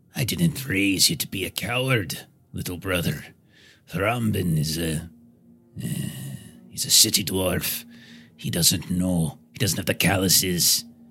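In a put-on character voice, a man speaks at a fairly slow pace with a very deep, low pitch and long, frequent pauses. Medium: actual play. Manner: scornful, angry, rough.

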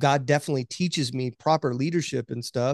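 Heard with a dry, close sound and no echo, a man with an American accent and an unremarkable speaking voice talks at a fairly high pitch with fairly even intonation. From US Oklahoma. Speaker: podcast co-host. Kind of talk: casual interview chat.

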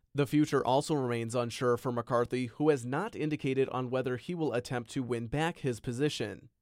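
Over a very clean recording with a silent background, a man talks in an ordinary speaking voice at medium pitch with ordinary pitch variation. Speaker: news reporter. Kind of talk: news reading. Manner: formal, measured, serious newsreader delivery.

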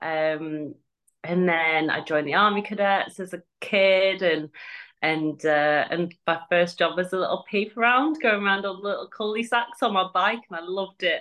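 This woman has an English accent and a medium pitch. She speaks at a moderate pace with ordinary pitch variation. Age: 30s. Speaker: army veteran and firefighter. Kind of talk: casual chat.

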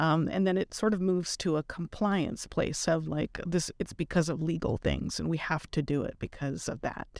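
On a very clean recording with a silent background, a woman with vocal fry speaks at a moderate pace and fairly low pitch with ordinary pitch variation. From Mexico. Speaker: clinical psychologist and diversity dean. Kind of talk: interview.

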